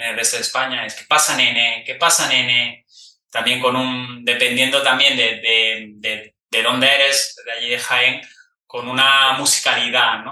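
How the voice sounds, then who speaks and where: A man speaks at a medium pitch and a fairly slow pace, in a monotone, flat intonation. His loudness swings widely, and audible room echo surrounds him. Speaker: podcast host and online Spanish teacher. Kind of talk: interview for Spanish learners. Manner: slow, clear delivery for learners.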